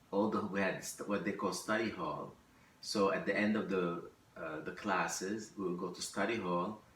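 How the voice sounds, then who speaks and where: A man's fairly low voice, with fairly even intonation, comes through clear background noise and audible room echo. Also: moderate pace. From Lebanon. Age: 60s. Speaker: immigrant interviewee. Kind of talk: oral history interview. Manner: halting, with fillers and restarts.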